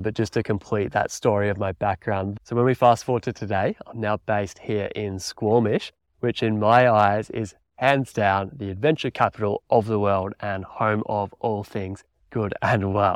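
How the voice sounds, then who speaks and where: A man with an Australian accent speaks at a moderate pace and a fairly low pitch, his intonation fairly even, in a dry, close sound with no echo against a quiet background. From Australia, country Victoria. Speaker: podcast host and mountain bike coach. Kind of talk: solo podcast monologue.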